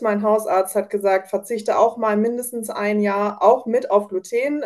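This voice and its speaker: A dark, mellow tone carries this fairly slow delivery. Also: woman. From Germany, North Rhine-Westphalia. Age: 30s. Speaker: home baker, mother of children with coeliac disease. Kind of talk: casual interview. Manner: many filler sounds (ähm).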